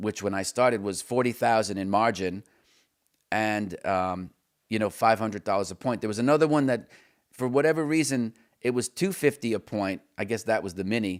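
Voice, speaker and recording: A man with an American accent, fairly low pitch and ordinary pitch variation, at a fairly quick pace on a very clean recording with a silent background. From New York State. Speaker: trading educator. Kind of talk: live stream talk. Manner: fast.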